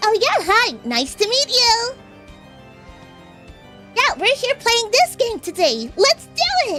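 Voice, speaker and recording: A put-on character voice, extremely high-pitched and fairly slow, with long, frequent pauses and clear music in the background. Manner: bubbly, friendly.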